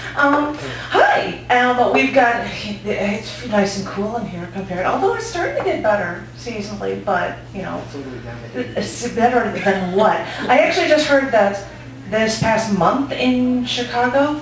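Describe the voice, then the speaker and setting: A woman's fairly slow speech against noticeable background noise. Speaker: open mic host. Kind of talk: live event hosting, casual talk to audience. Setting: live venue. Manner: upbeat.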